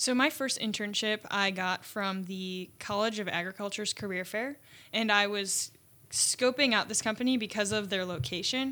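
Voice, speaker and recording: On a very clean recording with a silent background, a woman with an American accent speaks at a medium pitch, with ordinary pitch variation and a bright, sharp tone. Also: moderate pace. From Chicago suburbs, US Midwest. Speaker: engineering student. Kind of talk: casual interview.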